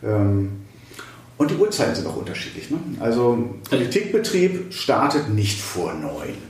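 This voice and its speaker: Man's voice with audible room echo and noticeable background noise. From West Germany. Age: 50s. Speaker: state politician. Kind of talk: interview. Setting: office.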